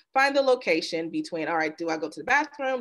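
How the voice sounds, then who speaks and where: Her intonation is lively, and her pace is very fast. The woman is heard against a quiet background. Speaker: presenter. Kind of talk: webinar presentation. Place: home room. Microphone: video call.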